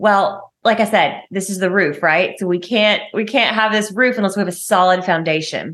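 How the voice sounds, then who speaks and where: Speaking in a Southern US accent with hardly any pauses, a woman uses a medium pitch and ordinary pitch variation. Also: moderate pace. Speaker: podcast host and marketing coach for health and wellness professionals. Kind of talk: podcast episode replaying an Instagram live, tips talk. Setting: recorded Instagram live from phone in home office, some audio issues. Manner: casual, conversational, chatty.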